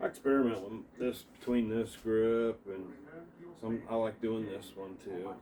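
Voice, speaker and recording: Speaking fairly slowly with an Appalachian accent, a man keeps a relaxed tone and a flat, monotone intonation. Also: medium pitch for a man, big swings in loudness. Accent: Appalachian, noticeable. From Appalachia, US. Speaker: martial arts practitioner. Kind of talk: casual tutorial demonstration. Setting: at home indoors. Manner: relaxed, halting with repetitions.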